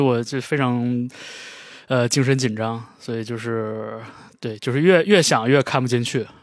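A man speaks at a fairly slow pace in an ordinary speaking voice at medium pitch. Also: very clean recording, silent background. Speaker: podcast co-host. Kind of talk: casual chat.

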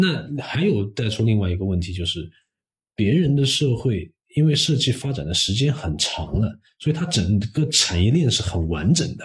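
The man's voice is somewhat breathy and swings very widely in pitch. He keeps a moderate speed. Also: medium pitch for a man. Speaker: industrial designer. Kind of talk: casual interview chat.

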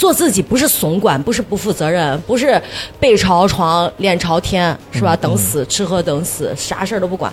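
This woman has an animated tone and lively intonation. She talks at a moderate pace. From northern Shaanxi, China. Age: 40s. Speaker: TV host and livestreamer. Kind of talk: casual chat. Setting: stage with live audience.

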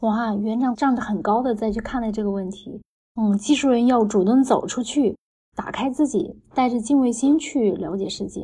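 A woman talks at a moderate pace in a fairly high voice with a dark, mellow tone. Her pitch varies in an ordinary way. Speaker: podcast host, former tech team lead. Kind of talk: interview.

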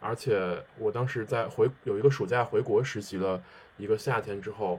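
A man with fairly even intonation. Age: 30s. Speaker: sports marketer. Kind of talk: casual chat. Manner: halting.

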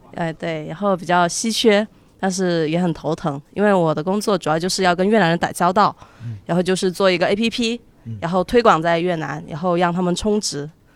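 A woman with a fairly low pitch talks in a normal speaking voice. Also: ordinary pitch variation, fairly quick pace. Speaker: university student and intern. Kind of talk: casual chat before a live audience. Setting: stage with audience.

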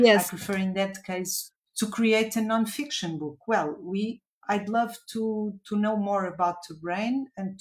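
Somewhat breathy and at a medium pitch, a woman with a Portuguese accent speaks at a fairly slow pace, with ordinary pitch variation and big swings in loudness. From Portugal, Lisbon. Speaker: children's book author. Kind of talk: interview. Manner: halting.

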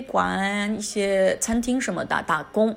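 A woman speaks in a Chinese accent at a moderate pace. Her fairly high pitch varies in an ordinary way. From China, Wuhan, Hubei. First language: Mandarin Chinese. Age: 30s. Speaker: podcast host. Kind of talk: casual monologue.

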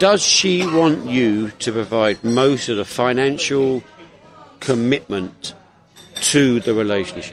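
With an English accent, the voice moves at a very slow pace. Its intonation is lively, and background noise is noticeable. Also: man, medium pitch for a man. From England. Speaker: podcast co-host. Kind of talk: casual chat. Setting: cafe.

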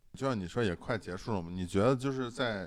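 A man speaks at a fairly quick pace with ordinary pitch variation in a plain, everyday voice. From Shandong, China. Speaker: podcast host. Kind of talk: casual chat.

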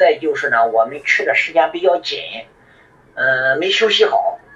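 A man speaks at a moderate pace while noticeable background noise fills the recording. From northern China. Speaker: amateur ultrarunner, army veteran. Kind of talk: voice message testimony.

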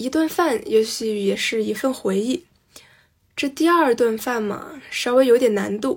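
A woman's high voice, fairly slow in pace, with lively intonation. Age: young. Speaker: listener contributor. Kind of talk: reading aloud.

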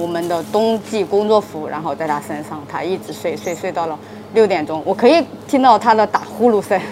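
A woman of medium pitch talks at a moderate pace with ordinary pitch variation, while noticeable background noise is present. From Anhui, China. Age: young. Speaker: convenience store manager. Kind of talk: interview. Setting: in a convenience store at night. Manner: halting, with many fillers.

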